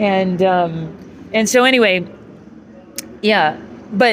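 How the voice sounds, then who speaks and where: Noticeable background noise behind a woman at a medium pitch. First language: German. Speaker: vlogger. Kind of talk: casual chat. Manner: halting.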